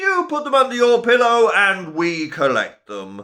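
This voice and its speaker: A man bellows in a put-on character voice. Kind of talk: children's story voice. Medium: read story. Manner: shouting, bellowing, explosive.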